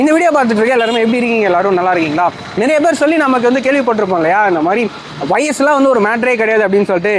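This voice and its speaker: Over noticeable background noise, a man with an extremely high pitch uses lively intonation while keeping his loudness very even. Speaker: interviewer, channel host. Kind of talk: casual talk to camera and interview questions.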